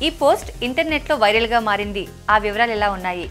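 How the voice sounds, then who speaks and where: Lively intonation from a woman over music in the background. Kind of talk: news bulletin narration.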